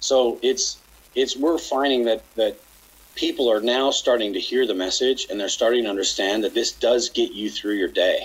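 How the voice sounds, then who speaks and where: A man speaks with a Western US accent. His pace is moderate. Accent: American, western US. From Utah, near Salt Lake City. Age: 50s. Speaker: chiropractor and company founder. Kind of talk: casual interview.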